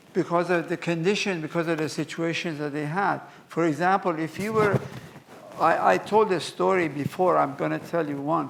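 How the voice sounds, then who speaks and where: A high-pitched man with fairly even intonation, amid noticeable background noise. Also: moderate pace. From Iran, Mashhad. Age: 80s+. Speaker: museum curator. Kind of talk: lecture with Q&A.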